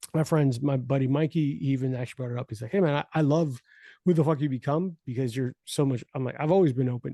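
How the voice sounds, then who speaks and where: Over a quiet background, a man talks at a very fast pace in a fairly high pitch with ordinary pitch variation. The sound is dry and close with no echo, and his tone is dark and mellow. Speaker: podcast host. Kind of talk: casual chat. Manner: animated.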